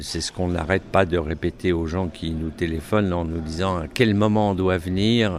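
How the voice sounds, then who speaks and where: A man's very deep, low pitch at a fairly slow pace with fairly even intonation. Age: 60s. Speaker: event organizer. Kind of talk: interview. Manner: hesitant, many filler sounds.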